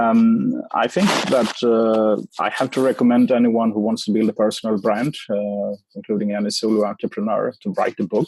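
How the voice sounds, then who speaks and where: A man speaks with a Swedish accent. The sound is dry and close, with no echo. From Sweden. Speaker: author and marketing expert. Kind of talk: interview.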